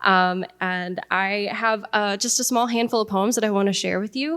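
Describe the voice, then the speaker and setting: The speaker has an unremarkable speaking voice with an American accent. The pace is moderate. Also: woman, medium pitch for a woman, ordinary pitch variation. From Iowa, USA. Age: young. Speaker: spoken word poet. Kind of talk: casual talk to live audience.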